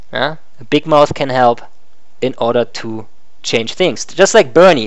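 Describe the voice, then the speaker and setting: A man speaks in a German accent at a fairly slow pace. His intonation is lively. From Germany. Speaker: live streamer. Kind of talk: live stream monologue. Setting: live stream with animated puppet avatar. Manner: casual, some hesitations.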